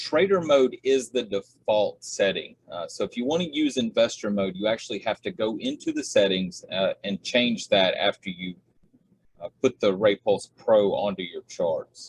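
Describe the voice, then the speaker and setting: A man speaks in a strong Southern US accent at a moderate pace. The sound is dry and close, with no echo. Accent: heavy Southern US. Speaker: trading indicator developer. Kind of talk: tutorial. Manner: filler-heavy, many uhs.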